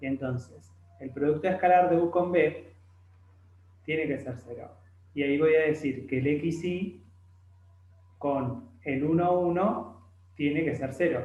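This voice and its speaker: A man talks with long, frequent pauses. His voice is somewhat breathy. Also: fairly high pitch for a man, ordinary pitch variation. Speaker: math tutor. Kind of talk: tutorial.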